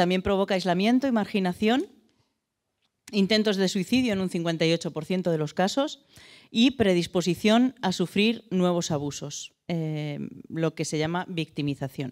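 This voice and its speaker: Against a quiet background, a woman speaks fairly slowly with lively intonation. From Madrid, Spain; Spain. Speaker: abuse survivor and association co-founder. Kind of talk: church talk. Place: church. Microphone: handheld.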